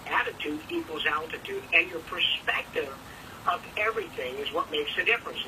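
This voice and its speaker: Against noticeable background noise, the man's words come at a moderate pace. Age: 60s. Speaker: motivational speaker. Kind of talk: motivational speech. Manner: animated.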